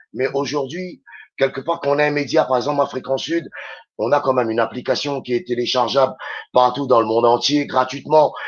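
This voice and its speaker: A man with a Réunion accent at a fairly quick pace. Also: medium pitch for a man, fairly even intonation. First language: Réunion Creole (speaking French). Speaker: radio host and DJ. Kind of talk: radio interview chat.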